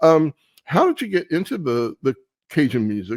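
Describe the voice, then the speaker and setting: The speaker is a man talking at a moderate pace. His recording sounds dry and close with no echo. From Baltimore, US Mid-Atlantic. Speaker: radio show host. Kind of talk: casual interview.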